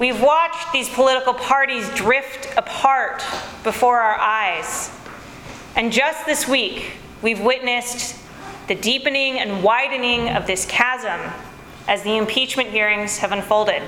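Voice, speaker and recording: A woman with an American accent speaks at a high pitch and a fairly slow pace. Audible room echo and noticeable background noise fill the recording. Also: ordinary pitch variation. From United States. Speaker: preacher. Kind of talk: sermon.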